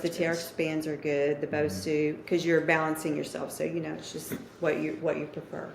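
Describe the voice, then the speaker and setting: Over noticeable background noise, a woman speaks at a fairly quick pace in a very deep, low pitch with fairly even intonation. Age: 60s. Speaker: fitness instructor. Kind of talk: interview answer.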